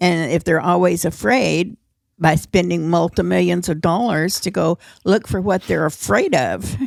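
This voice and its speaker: Vocal fry runs through this woman's fairly low voice. Her pitch swings very widely. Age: 80s+. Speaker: podcast co-host, elderly mother. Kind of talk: casual chat.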